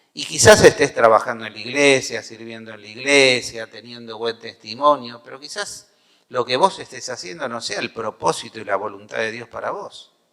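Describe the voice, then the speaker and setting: With a Rioplatense accent, a man speaks at a moderate pace and medium pitch, with ordinary pitch variation and big swings in loudness. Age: 60s. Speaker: pastor. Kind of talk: sermon.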